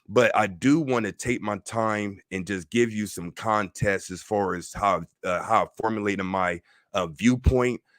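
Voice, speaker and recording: In an American accent, an ordinary speaking voice moves at a moderate pace with ordinary pitch variation, recorded very cleanly against a silent background with a dry, close sound and no echo. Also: man. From Ohio, Middletown. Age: 40s. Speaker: spiritual teacher, livestreamer. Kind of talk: casual livestream talk. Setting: livestream with chat.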